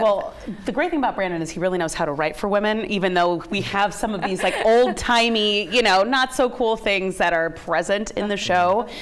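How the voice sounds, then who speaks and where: A woman's medium-pitched voice at a fairly quick pace, with ordinary pitch variation and hardly any pauses, over noticeable background noise. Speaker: co-founder of a radio drama theater company. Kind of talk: TV interview answer.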